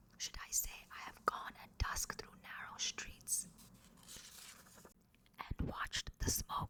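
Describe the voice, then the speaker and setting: Whispering, a woman speaks at a fairly slow pace. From India. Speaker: actress. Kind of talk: poetry reading. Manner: whispered.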